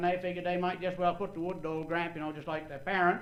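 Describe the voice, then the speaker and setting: A man with a high-pitched voice speaks in a Maine accent. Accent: Downeast Maine. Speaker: agriculture professor and banquet speaker. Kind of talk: humorous after-dinner talk. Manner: folksy storytelling.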